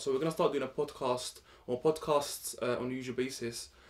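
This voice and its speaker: A man with a London accent talks at a very fast pace in a fairly high pitch. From Morocco. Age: 20s. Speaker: podcast host. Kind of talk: casual chat.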